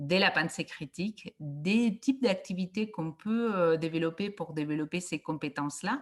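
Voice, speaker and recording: In a Barcelona accent, the voice comes through dry and close with no echo against a quiet background. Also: woman, fairly low pitch for a woman, lively intonation. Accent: Barcelona accent, audible. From Catalonia, Spain (Reus, near Barcelona). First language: Catalan or Spanish (speaking French). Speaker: education researcher. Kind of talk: conference talk. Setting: video call. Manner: hesitant, many fillers.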